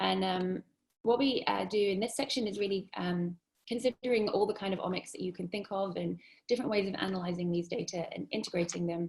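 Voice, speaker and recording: Talking at a fairly quick pace, this woman has a medium pitch, ordinary pitch variation and noticeable vocal fry. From UK. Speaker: epidemiology researcher. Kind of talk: academic seminar talk. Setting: video call. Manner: hesitant, many fillers.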